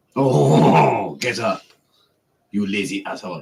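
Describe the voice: Someone puts on a character voice with a French accent, speaking at a fairly slow pace with lively intonation. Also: man, fairly low pitch for a man.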